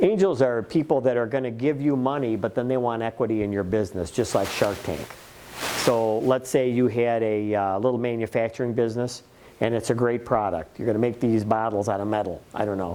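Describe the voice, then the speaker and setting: Delivered at a fairly quick pace, this unremarkable speaking voice has ordinary pitch variation. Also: man, medium pitch for a man. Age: 60s. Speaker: small business workshop presenter. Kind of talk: workshop presentation.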